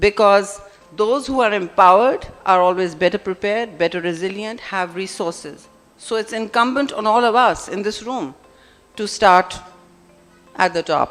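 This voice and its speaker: Music plays behind a voice speaking at a medium tempo. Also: woman, medium pitch for a woman, ordinary pitch variation. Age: 60s. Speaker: senator, keynote speaker. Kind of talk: conference speech. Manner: animated, emphatic.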